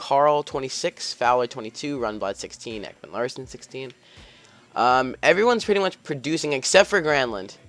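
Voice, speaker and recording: A man's voice sounds dry and close with no echo, with music playing in the background. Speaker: gaming YouTuber. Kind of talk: gameplay commentary. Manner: fast; upbeat.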